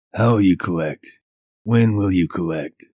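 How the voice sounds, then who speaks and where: A man puts on a character voice, croaky and very deep in pitch. He talks at a moderate pace. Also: dry, close sound with no echo. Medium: read story. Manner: gruff, laconic.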